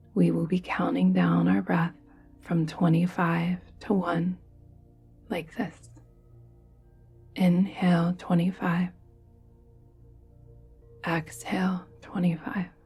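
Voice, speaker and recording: A woman talks at a very slow pace with long, frequent pauses. Music plays in the background. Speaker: yoga nidra guide. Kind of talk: guided meditation. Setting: soft background music with bells. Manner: calm, soft-spoken, slow.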